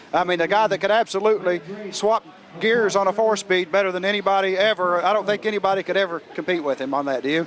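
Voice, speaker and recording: A man talks at a very fast pace with a high pitch. His loudness stays very even, and there is noticeable background noise. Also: ordinary pitch variation. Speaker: racing show host. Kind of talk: interview. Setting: outdoors.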